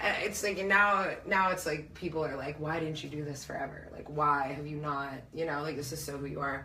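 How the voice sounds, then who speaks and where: A woman with a very deep, low pitch talks at a fairly quick pace with hardly any pauses, over noticeable background noise and audible room echo. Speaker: local musician. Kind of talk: casual chat. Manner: loud; animated.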